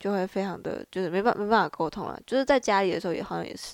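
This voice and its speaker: A woman speaks, and the sound is dry and close with no echo. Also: very clean recording, silent background. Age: 20s. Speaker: student podcast co-host. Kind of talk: casual discussion.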